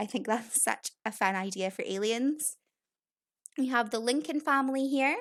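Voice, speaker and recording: In a Scottish accent, a woman talks at a fairly quick pace with lively intonation, recorded very cleanly against a silent background. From Scotland. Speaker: gaming YouTuber. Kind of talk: casual game walkthrough commentary.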